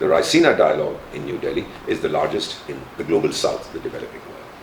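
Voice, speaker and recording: A man is speaking against noticeable background noise. Audible room echo fills the recording. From India. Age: 70s. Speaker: retired diplomat. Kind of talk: interview. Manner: animated.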